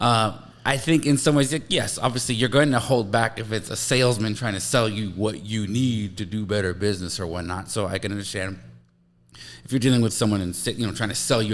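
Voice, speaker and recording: Here a man talks at a very fast pace. His pitch variation is ordinary. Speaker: podcast host, life coach. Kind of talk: casual podcast discussion.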